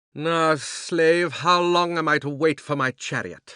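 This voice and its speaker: Using a put-on character voice, a man speaks fairly slowly at a fairly high pitch. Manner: thundering, imperious.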